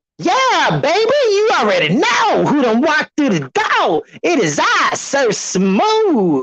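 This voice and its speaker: A put-on character voice, high in pitch, at a fairly slow pace with hardly any pauses. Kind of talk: slick, playful. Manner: smooth, suave.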